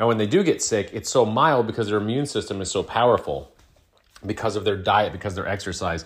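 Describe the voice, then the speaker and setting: Animated in tone and somewhat breathy, a man speaks at a fairly quick pace with ordinary pitch variation. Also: fairly low pitch for a man. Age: 40s. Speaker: podcast host. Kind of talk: casual monologue.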